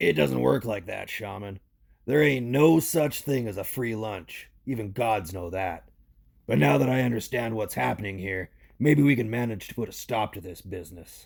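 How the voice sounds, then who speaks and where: A man puts on a raspy character voice at medium pitch. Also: moderate pace. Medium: audio drama. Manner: gruff, blunt, slangy.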